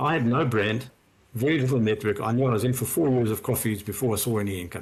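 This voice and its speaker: In a very clean recording with a silent background, a man with a medium pitch talks very fast, somewhat breathy, with ordinary pitch variation. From South Africa, Johannesburg. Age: 60s. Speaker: former investment banker turned wealth adviser. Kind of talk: podcast interview.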